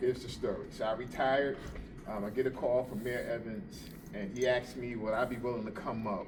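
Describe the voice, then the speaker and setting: A man speaks at a moderate pace and medium pitch with a New Jersey accent. Audible echo from the room is present. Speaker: police officer. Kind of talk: informal talk to a group. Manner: hesitant, many fillers.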